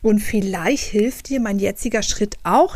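A woman's fairly high, a plain, everyday voice with ordinary pitch variation. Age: 30s. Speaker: podcast host, journalist and author. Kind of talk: solo podcast monologue.

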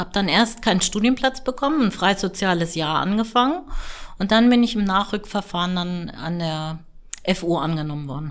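A normal speaking voice with lively intonation at a moderate pace, on a very clean recording with a silent background. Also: woman, medium pitch for a woman. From northern Germany, near Hamburg. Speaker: gynecologist. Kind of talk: interview.

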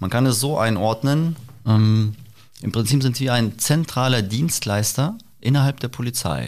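A man uses a normal speaking voice at medium pitch, with ordinary pitch variation and a fairly slow pace. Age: 30s. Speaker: police press officer. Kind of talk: interview. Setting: on location at police helicopter base.

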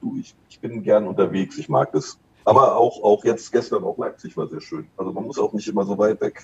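With big swings in loudness, a man delivers his words at a moderate pace. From West Berlin (Kreuzberg). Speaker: bartender and brand ambassador. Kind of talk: casual interview chat. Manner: halting, many fillers.

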